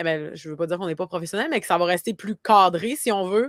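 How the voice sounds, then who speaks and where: A woman's medium-pitched voice with ordinary pitch variation, dry and close with no echo, in a very clean recording over a silent background. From Quebec, Côte-Nord (Havre-Saint-Pierre). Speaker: marketing agency founder. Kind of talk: podcast interview. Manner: many fillers and repetitions.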